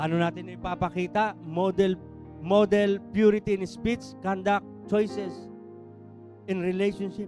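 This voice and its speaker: Music plays in the background. Over it, a man speaks at a fairly slow pace. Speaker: church preacher. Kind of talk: sermon delivered to a congregation.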